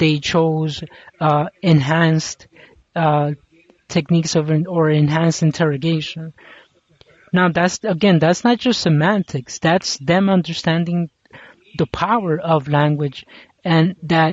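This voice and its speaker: The speaker has a non-native accent and moves at a fairly slow pace. Long, frequent pauses break up the speech. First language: not English. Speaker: commentary vlogger. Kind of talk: casual monologue commentary. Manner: halting, many fillers and restarts.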